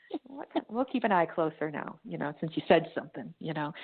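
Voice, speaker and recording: A woman's very fast speech with very wide pitch swings. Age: 40s. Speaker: psychic and tarot reader. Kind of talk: casual chat. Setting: podcast call.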